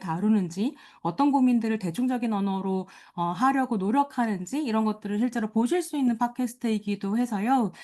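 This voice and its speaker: Against a quiet background, a woman with a fairly high pitch and a dark, mellow tone talks at a fairly quick pace. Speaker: lecturer, film critic. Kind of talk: lecture.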